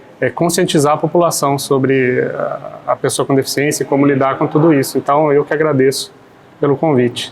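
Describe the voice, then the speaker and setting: A man's fairly high voice, monotone and flat, with very even loudness at a fairly quick pace amid noticeable background noise. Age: 40s. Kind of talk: podcast interview. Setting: café.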